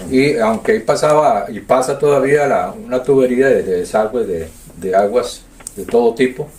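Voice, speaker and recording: A man with a Costa Rican accent, medium pitch, very wide pitch swings, noticeable background noise. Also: moderate pace. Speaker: community elder. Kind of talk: oral history interview. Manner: halting.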